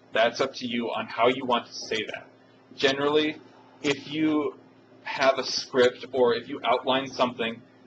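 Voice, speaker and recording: A man talks at a moderate pace in a medium pitch with fairly even intonation. His loudness swings widely, and background noise is noticeable. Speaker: instructor teaching a course module. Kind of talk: screen-recorded software tutorial. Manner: casual, hesitant with fillers.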